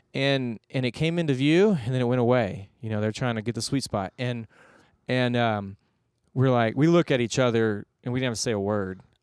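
A man's normal speaking voice, medium-pitched, with an American accent, at a moderate pace, in a dry, close sound with no echo and a very clean recording with a silent background. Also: ordinary pitch variation. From Texas (Houston). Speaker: pastor. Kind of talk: podcast interview, personal testimony.

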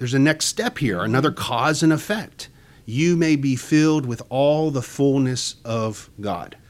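A man's plain, everyday voice, fairly high in pitch, with lively intonation at a fairly slow pace. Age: 40s. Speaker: church Bible study host. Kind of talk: Bible study discussion.

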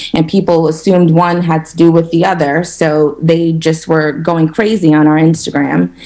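A woman's fairly low voice in a monotone, flat intonation, moderate pace with hardly any pauses, and noticeable background noise. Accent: American. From New York, Harlem. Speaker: restaurant co-owner. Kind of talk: interview.

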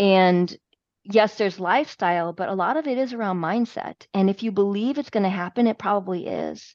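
A woman's unremarkable speaking voice at medium pitch, moderate in pace, with ordinary pitch variation. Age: 50s. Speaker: health and fitness coach. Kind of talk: interview.

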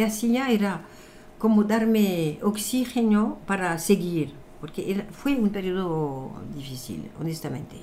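A woman's very slow speech in a French accent, dark and mellow in tone, medium in pitch, with lively intonation. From France. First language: French (speaking Spanish). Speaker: numerologist and author. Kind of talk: interview.

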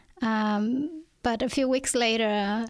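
Fairly even intonation marks this woman's fairly high voice. She speaks with a Vietnamese accent. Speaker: author. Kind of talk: interview. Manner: hesitant.

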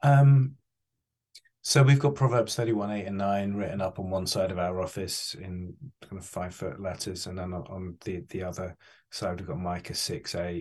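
A man with an English accent and a very deep, low pitch, moderate pace, ordinary pitch variation and big swings in loudness, over a quiet background. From England. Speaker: charity chief executive. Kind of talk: interview.

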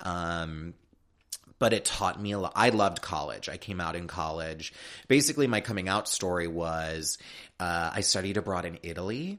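A man with an American accent and a very deep, low pitch with ordinary pitch variation. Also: moderate pace. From US Midwest, Chicago north suburbs. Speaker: talent manager. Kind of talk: casual interview. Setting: studio.

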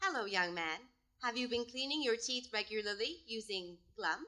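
A put-on character voice sounds robotic. It moves along at a moderate pace. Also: female-sounding voice, fairly high pitch for a woman. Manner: cheerful, friendly.

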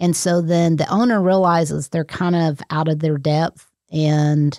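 A woman with an American accent speaks in a very deep, low pitch with a dark, mellow tone and fairly even intonation, recorded very clean against a silent background with a dry, close sound and no echo. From Texas. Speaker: certified property manager. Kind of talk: interview.

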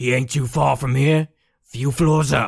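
A put-on character voice, raspy and delivered at a fairly slow pace. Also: man. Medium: actual play. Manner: gruff, clipped, street-tough.

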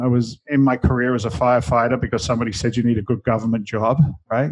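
A man of medium pitch talks at a very fast pace. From London, England. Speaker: real estate investor and TV personality. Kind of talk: casual interview chat.

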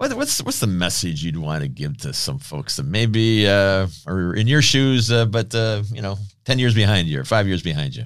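A man with a plain, everyday voice speaks at a fairly low pitch. His pace is moderate and his intonation lively. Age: 60s. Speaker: podcast host. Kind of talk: interview.

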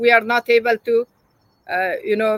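With an Afghan accent, a woman speaks at a fairly high pitch. Her pace is moderate, and the sound is dry and close with no echo. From Afghanistan. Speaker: journalist. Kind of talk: interview. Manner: emotional.

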